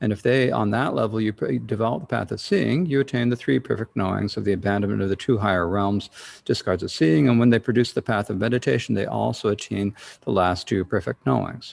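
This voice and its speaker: Talking at a very fast pace, a man uses a fairly low pitch with vocal fry. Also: lively intonation. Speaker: Buddhist teacher. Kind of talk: lecture. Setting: online livestream. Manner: halting.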